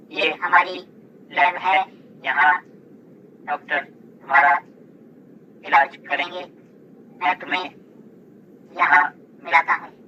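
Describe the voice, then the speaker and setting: A cartoonish character voice at middle pitch, fairly slow, with long, frequent pauses. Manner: friendly, reassuring.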